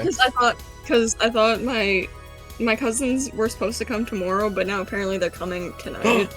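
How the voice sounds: A woman speaks fairly quickly with a Canadian accent, her pitch fairly high. Her pitch varies in an ordinary way, with music in the background.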